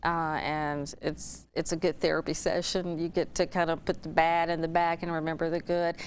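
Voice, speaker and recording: Against a quiet background, the speaker moves at a fairly quick pace with a slight Alabama accent. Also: woman. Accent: Alabama, faint. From Alabama, Talladega. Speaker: former TV news anchor. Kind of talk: interview.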